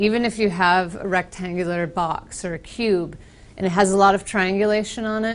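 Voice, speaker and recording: Here a woman speaks with an American accent. Her intonation stays fairly even. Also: medium pitch for a woman, moderate pace. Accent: very American. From US Northeast, Boston. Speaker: software trainer with architecture background. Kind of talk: technical presentation.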